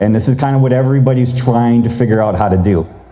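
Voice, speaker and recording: A man speaks at a very fast pace. Audible room echo and noticeable background noise surround his voice. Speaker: rural policy researcher, presenter. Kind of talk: conference presentation. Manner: casual, conversational.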